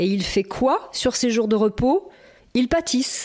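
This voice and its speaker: Here is a woman with an ordinary speaking voice. She talks fairly slowly in a fairly high pitch with ordinary pitch variation. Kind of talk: podcast narration. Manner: playful.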